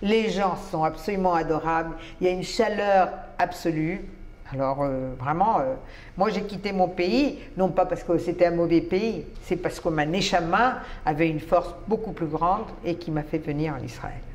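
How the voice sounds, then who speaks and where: A woman with a fairly low pitch talks at a fairly slow pace with ordinary pitch variation, over noticeable background noise. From Colombia. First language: Spanish (speaking French). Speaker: writer and immigrant to Israel. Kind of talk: interview.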